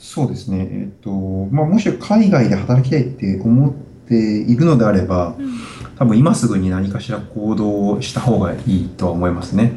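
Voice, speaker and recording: Over noticeable background noise and audible room echo, a man talks at a moderate pace with lively intonation and a fairly low pitch. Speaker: software engineer. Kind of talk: interview. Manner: halting, many fillers.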